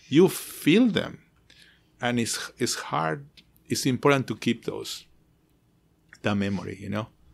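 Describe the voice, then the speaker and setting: An American-accented voice with vocal fry and very wide pitch swings at a moderate pace, on a very clean recording with a silent background. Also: man. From outside the US. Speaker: architect who studies sacred spaces. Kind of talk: interview conversation. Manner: halting, many repetitions.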